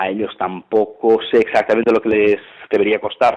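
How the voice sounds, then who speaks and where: A man with a normal speaking voice talks at a fairly low pitch. His pace is moderate. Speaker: sports commentator. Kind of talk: interview answer. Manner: casual, colloquial.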